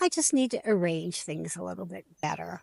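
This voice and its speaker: Recorded dry and close with no echo, a woman speaks with an American accent. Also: quiet background. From United States. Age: 70s. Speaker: vlogger. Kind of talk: personal storytelling vlog.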